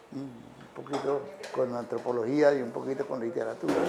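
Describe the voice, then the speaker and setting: Audible room echo and noticeable background noise surround a man's voice. His pitch is fairly high, with ordinary pitch variation. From Colombia, Arauca. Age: 80s+. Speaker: writer. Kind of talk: public talk. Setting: café with live audience.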